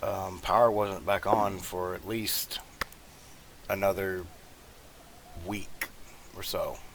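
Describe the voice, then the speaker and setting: With noticeable background noise, a man with a Southern US accent speaks at a very slow pace in a monotone, flat intonation, with long, frequent pauses. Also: fairly low pitch for a man. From US South. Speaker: gaming YouTuber. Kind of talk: gameplay commentary, casual chat. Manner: halting, many fillers.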